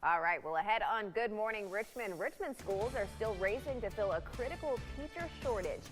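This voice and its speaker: Over music in the background, a woman speaks at a moderate pace with a confident tone. Her pitch is fairly high and her intonation lively. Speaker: TV news anchor and reporter. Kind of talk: morning TV news anchoring. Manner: confident, assured.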